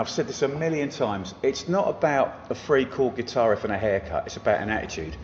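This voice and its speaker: Noticeable background noise around a man talking at a fairly quick pace. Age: 50s. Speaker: music venue owner. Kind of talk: casual chat. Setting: music venue. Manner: animated.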